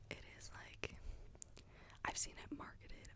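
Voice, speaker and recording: A woman whispers. Her pace is moderate. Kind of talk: ASMR whispered perfume review talking to camera. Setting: studio, close microphone. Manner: whispered, soft-spoken.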